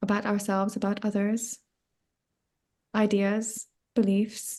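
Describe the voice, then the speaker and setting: A woman speaks in a flat monotone. Her pace is very slow. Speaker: spiritual coach. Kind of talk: podcast interview. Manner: halting.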